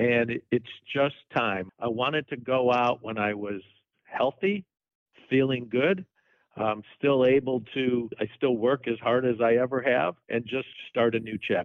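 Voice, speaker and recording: A man's normal speaking voice, medium in pitch, fairly slow, with ordinary pitch variation. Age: 60s. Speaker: sports team executive. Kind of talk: interview.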